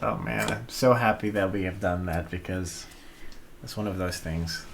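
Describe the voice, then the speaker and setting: A man's very deep, low voice with lively intonation, audible room echo and noticeable background noise. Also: moderate pace. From Netherlands. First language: Dutch. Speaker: vlogger. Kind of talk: casual chat. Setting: live stream at home.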